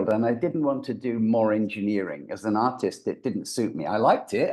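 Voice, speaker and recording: A voice with a mild English accent. The tone is dark and mellow. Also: man. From England. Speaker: voice actor and brain reprogramming coach. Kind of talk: podcast interview.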